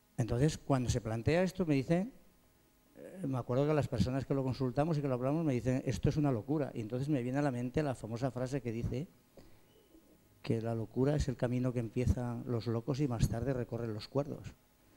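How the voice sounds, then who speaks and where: With music in the background, a man speaks at a fairly quick pace with ordinary pitch variation. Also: medium pitch for a man. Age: 60s. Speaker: pastry chef. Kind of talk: panel discussion.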